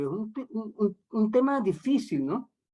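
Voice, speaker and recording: Here a man speaks in a Caracas accent with a high pitch. His pace is moderate and his intonation lively. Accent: Venezuelan Spanish (Caracas). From Venezuela, Caracas. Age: 60s. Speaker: radio host. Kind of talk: radio interview. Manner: halting, many repetitions.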